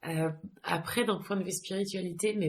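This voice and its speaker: A woman talks with fairly even intonation. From France, with some childhood abroad. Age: 30s. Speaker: yoga teacher. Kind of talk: interview. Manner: hesitant, many fillers.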